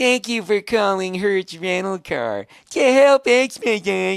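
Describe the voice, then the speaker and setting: This is a put-on character voice with a robotic sound. It moves at a fairly slow pace. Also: female-sounding voice, medium pitch for a woman. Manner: cheery, smiling, robotic.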